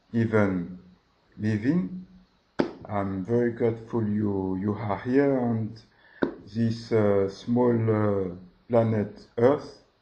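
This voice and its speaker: Speaking at a very slow pace, a man with a French accent uses ordinary pitch variation. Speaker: religious video host. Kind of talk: religious monologue. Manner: hesitant.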